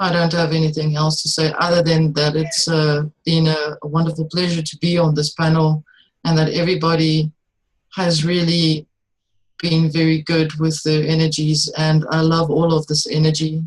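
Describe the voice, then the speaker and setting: With a non-native accent, a woman speaks in a very deep, low pitch, somewhat breathy and with monotone, flat intonation. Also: very even loudness. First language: not English. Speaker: panelist, metaphysical energy worker. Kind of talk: panel discussion. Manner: halting.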